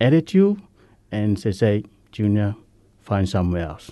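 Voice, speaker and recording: The man's tone is dark and mellow. The background is quiet. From Samoa. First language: Samoan. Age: 50s.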